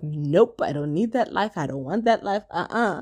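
A dark, mellow tone moves through very wide pitch swings in a very clean recording with a silent background. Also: woman. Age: 20s. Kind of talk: devotional talk. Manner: conversational with fillers and repetitions.

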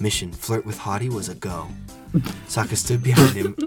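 Pitch variation here is ordinary. The delivery is plain reading aloud.

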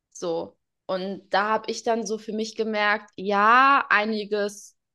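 A woman's bright, sharp voice, fairly high in pitch, at a very slow pace with fairly even intonation. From Portugal. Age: young. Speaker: interview guest, spiritual seeker. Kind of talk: interview, personal testimony.

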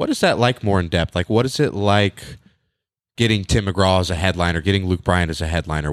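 A man with an American accent speaks fairly quickly at a very deep, low pitch with ordinary pitch variation. The sound is dry and close with no echo, in a very clean recording with a silent background. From Northern California. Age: young. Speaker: podcast host. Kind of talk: casual interview chat; reading aloud.

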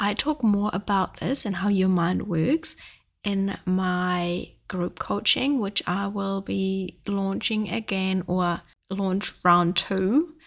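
A woman with a non-native accent talks at a very slow pace and a medium pitch, with ordinary pitch variation. The recording is very clean, with a silent background. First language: not English. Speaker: podcast host and life coach. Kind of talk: casual chat monologue; sales pitch. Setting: sitting with coffee, solo recording.

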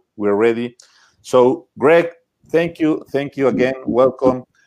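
A man's medium-pitched voice in a Spanish accent, fairly slow, with ordinary pitch variation. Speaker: webinar host. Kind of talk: live bilingual webinar interview.

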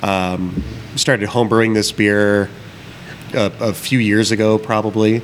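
A man's fairly low voice with an American accent, at a fairly slow pace with long, frequent pauses, fairly even intonation and very even loudness, over noticeable background noise. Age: 30s. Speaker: brewer and brewery co-owner. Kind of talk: casual chat. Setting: taproom of a brewery.

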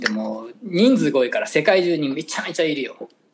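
A man with a Kansai accent speaks using very wide pitch swings. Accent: Kansai dialect Japanese. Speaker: podcast co-host, hairdresser. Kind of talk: casual chat. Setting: remote call from abroad, evening.

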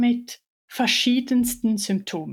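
This woman has a fairly high pitch and fairly even intonation. The recording is very clean, with a silent background. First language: Swiss German (speaking German). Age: 30s. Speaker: chronic pain patient sharing her story. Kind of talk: personal testimony in interview.

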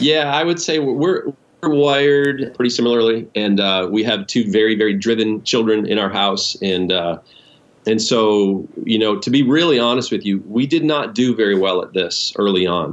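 A man with an unremarkable speaking voice and medium pitch talks at a moderate pace with lively intonation. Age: 50s. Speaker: pastor. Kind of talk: interview.

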